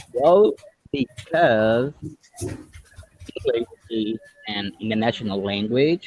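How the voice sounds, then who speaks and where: A man speaks very slowly at a medium pitch in a Brazilian Portuguese accent. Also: dry, close sound with no echo. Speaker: English learner, YouTuber, software developer. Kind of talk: casual chat. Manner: halting.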